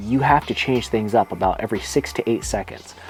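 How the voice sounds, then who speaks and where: Music is playing in the background. Over it, a man talks at a medium pitch. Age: 40s. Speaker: YouTuber. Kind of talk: casual talk to camera. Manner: occasional stutter.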